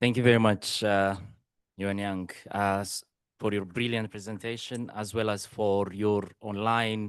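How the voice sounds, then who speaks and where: In a non-native accent, a man with a fairly low voice speaks at a fairly slow pace in a monotone, flat intonation against a quiet background. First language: not English. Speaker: conference attendee asking questions. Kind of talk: audience question. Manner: halting, many fillers.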